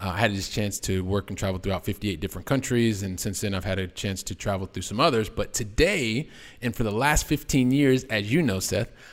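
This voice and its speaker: This is an ordinary speaking voice with an American accent. Its pitch varies an ordinary amount. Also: man. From US Midwest, Columbus, Ohio. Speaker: real estate investor. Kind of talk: interview.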